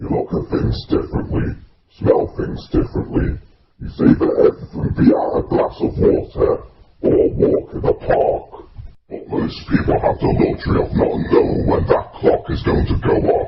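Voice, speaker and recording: The voice is a raspy, put-on character voice. It keeps a moderate pace. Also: man, extremely high pitch for a man. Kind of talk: horror film character impression. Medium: voice reel. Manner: slow, calm, menacing.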